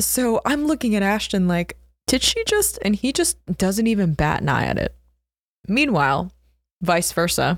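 A woman speaks with an American accent at a moderate pace, leaving long, frequent pauses. Her loudness stays very even. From US Northeast (South Jersey, Philadelphia area). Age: 20s. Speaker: entrepreneur, founder of a tech company. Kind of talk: casual interview. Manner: casual, filler-heavy with frequent laughter.

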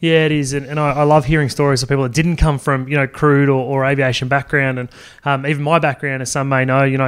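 Very fast speech comes from a man with an Australian accent. His pitch is fairly high and his intonation is monotone and flat. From Australia (Sydney). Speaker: podcast host. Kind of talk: interview. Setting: conference venue.

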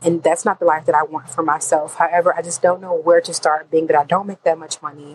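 A woman's fairly low, flat, monotone voice at a very fast pace, dry and close with no echo, with music in the background. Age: 20s. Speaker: voicemail caller. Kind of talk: recorded voicemail question. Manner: halting, many fillers.

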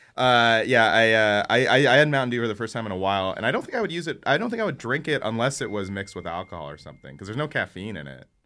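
A very clean, silent-background recording of a man with an American accent, medium pitch, a bright, sharp tone and vocal fry, talking at a very fast pace with lively intonation, big swings in loudness and hardly any pauses. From San Francisco, California. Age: 30s. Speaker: comedian. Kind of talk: casual chat. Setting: studio.

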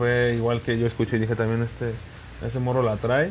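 A man is talking here. His delivery moves at a fairly quick pace. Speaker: reggaeton musician. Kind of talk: interview.

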